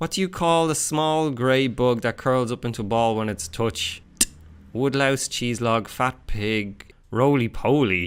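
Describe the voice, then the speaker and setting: A man speaks in an Irish accent at a medium pitch. His pace is fairly slow, with ordinary pitch variation. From Ireland. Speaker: vlogger; youtuber. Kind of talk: casual talk to camera. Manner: upbeat, jokey. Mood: playful, joking. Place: home room.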